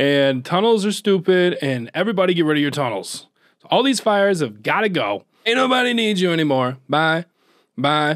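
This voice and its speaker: A man with a high-pitched voice speaks in an upbeat tone at a moderate pace, with very wide pitch swings and big swings in loudness, on a very clean recording with a silent background. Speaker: Minecraft gameplay commentator. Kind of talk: gameplay voiceover recorded after the fact. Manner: casual, upbeat.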